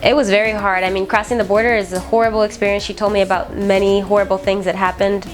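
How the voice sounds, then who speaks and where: Over music in the background, a woman talks at a very fast pace. Her medium-pitched delivery is monotone and flat. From Nicaragua, then Miami. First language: Spanish. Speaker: military veteran. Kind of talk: interview testimony.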